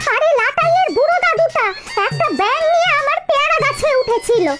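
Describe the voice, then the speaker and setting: A woman does a cartoonish character voice at an extremely high pitch, speaking at a moderate pace over faint music in the background. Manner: shrill, complaining.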